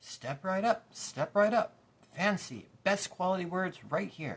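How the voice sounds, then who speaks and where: In a put-on character voice, the speaker talks loud and booming at a middle pitch and a fairly slow pace. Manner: loud, hawking his wares.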